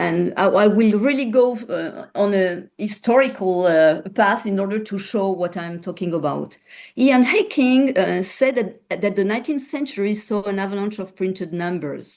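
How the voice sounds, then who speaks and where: A woman's lively intonation in a French accent. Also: medium pitch for a woman, moderate pace, hardly any pauses. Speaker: researcher. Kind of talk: panel presentation. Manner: halting.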